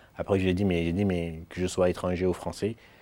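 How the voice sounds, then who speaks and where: A man's very deep, low voice with a Mayotte accent, monotone flat intonation, on a very clean recording with a silent background. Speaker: student. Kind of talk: testimony. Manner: halting.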